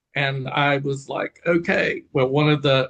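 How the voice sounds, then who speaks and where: Speaking in a Southern accent, a man uses a medium pitch and fairly even intonation. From Eastern North Carolina. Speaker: pastor. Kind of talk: interview conversation.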